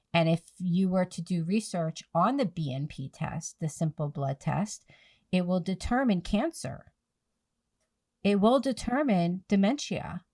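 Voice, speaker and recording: The speaker has an American accent and a dark, mellow, somewhat breathy tone, with lively intonation at a fairly slow pace. The recording is very clean, with a silent background. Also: woman, medium pitch for a woman, dry, close sound with no echo. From New Jersey / Philadelphia area, US. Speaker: podcast host, nonprofit founder, PPCM survivor. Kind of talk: podcast interview, advocacy talk.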